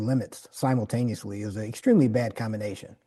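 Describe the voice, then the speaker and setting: A man with an American accent has a dark, mellow tone. He talks at a very fast pace with fairly even intonation. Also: quiet background. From Detroit, US Midwest. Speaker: community organizer. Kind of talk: interview.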